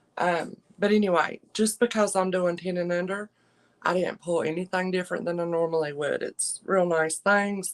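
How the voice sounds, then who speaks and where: A woman talks with fairly even intonation in a Southern US accent. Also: medium pitch for a woman, moderate pace. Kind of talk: casual livestream chat. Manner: soft-spoken.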